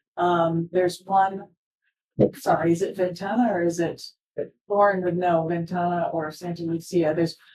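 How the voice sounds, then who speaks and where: A woman's fairly low voice in a flat monotone, broken by long, frequent pauses. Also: moderate pace. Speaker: conservation organization speaker. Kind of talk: public talk Q&A.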